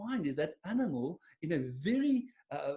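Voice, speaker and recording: A voice with a dark, mellow tone and very wide pitch swings, in an Afrikaans accent. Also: man. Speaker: business coach. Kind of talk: webinar presentation. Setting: online webinar. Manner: casual, with many fillers.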